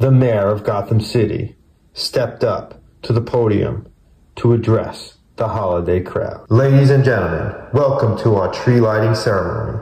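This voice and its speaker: In a room with audible echo, a man speaks at a moderate pace and medium pitch, his fairly even intonation carrying a dark, mellow tone that is somewhat breathy. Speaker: book reader, collector channel host. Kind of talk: children's book read-aloud. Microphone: phone near.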